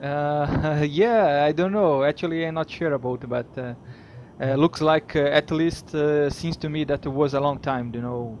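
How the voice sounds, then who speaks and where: A man with a fairly high pitch talks at a moderate pace, his pitch varying in an ordinary way. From Brazil. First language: Portuguese. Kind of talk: casual video call conversation. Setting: internet call. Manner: hesitant, many fillers.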